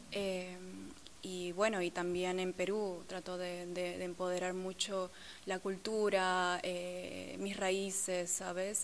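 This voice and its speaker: A woman's medium-pitched voice, monotone and flat, at a very slow pace over light background noise. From Peru. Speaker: model and actress; actress. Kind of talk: interview. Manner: halting. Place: hall.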